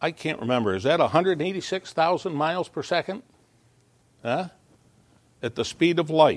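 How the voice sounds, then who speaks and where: A man speaks at a moderate pace with a fairly high pitch, lively intonation and vocal fry. His long pauses come often. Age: 70s. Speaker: pastor. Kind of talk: sermon. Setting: church.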